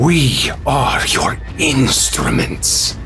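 A man puts on a character voice while clear music plays in the background. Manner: grand, incantatory, commanding.

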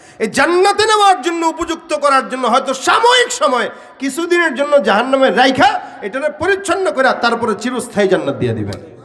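Over noticeable background noise, a man speaks at an extremely high pitch that swings very widely. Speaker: Islamic preacher. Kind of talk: sermon. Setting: religious gathering with audience.

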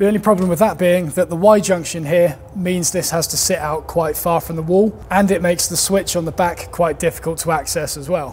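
With light background noise behind him, a man speaks in a high pitch at a fairly quick pace. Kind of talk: tutorial. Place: workshop.

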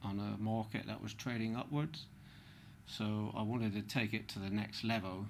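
A man with a fairly low pitch talks at a moderate pace with fairly even intonation over light background noise. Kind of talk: interview answer. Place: studio.

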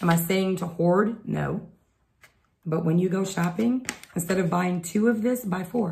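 A woman's fairly low, somewhat breathy voice with a dark, mellow tone, an American accent and a moderate pace. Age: 50s. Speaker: homesteading vlogger. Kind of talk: casual chat; tutorial. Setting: home, recorded at night.

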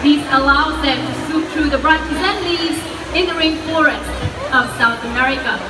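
Speech moves at a moderate pace while noticeable background noise is heard behind it. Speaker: bird show presenter. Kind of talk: live bird show presenter patter to an audience, explaining and cueing birds. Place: stadium.

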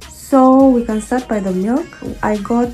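Faint music sits in the background. A woman speaks at a moderate pace. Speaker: vlogger. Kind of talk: casual vlog chat. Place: kitchen. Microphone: phone near.

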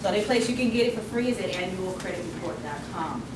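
Against loud background noise, a woman speaks at a fairly quick pace. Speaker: credit restoration speaker and author. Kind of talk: workshop talk. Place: meeting room. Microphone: camera far.

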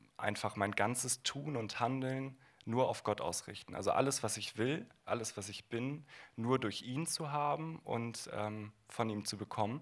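Speaking at a fairly slow pace, a man uses ordinary pitch variation at medium pitch. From northern Germany, Bremen; Germany. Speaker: former conversion therapy participant; guest. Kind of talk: panel discussion. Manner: hesitant, many fillers. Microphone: handheld.

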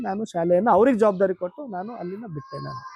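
A man's high-pitched voice with ordinary pitch variation, a dry, close sound with no echo, and noticeable background noise. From Karnataka, Kalaburagi district (north Karnataka). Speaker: school founder and headmaster. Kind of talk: interview.

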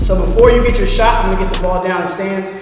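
The sound carries a strong room echo. Clear music plays in the background. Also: man. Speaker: basketball coach. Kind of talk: coaching instruction. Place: hall.

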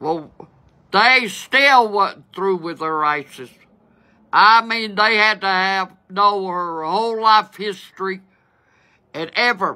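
A bright, sharp voice at a very slow pace, with long, frequent pauses, ordinary pitch variation and a quiet background. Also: woman. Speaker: storyteller. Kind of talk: casual vlog chat, storytelling. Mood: exasperated, humorous. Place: home room. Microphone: phone near.

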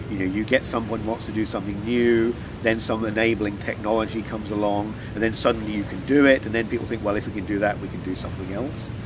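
At a very fast pace, a man with a southern English accent talks in a fairly low, flat monotone, his sound dry with no echo over noticeable background noise. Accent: southern English, educated British. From rural Norfolk, England; England. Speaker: chemistry lecturer, NMR researcher; chemistry lecturer. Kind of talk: interview answer. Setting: conference venue. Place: waterside.

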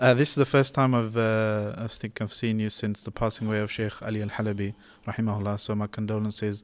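A man talks at a very fast pace. His pitch is fairly low, and his intonation is monotone and flat. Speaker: podcast host. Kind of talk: interview. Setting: mosque. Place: church. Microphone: studio mic.

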